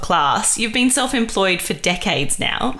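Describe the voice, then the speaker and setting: A woman's voice with very wide pitch swings at a moderate pace, over noticeable background noise. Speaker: podcast host. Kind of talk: podcast interview.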